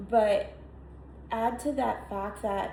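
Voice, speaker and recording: A woman with an American accent talks in a room with audible echo. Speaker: content creator. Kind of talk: casual vlog monologue. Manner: halting, many fillers.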